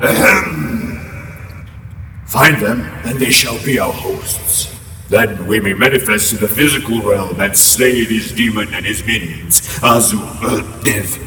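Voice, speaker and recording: A man's put-on character voice at medium pitch and a fairly slow pace, with clear echo and clear background noise. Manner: solemn, commanding.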